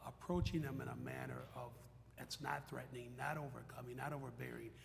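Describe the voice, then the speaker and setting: There is audible room echo around a man's voice. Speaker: retired police officer and corrections head. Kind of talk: panel discussion. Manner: loud.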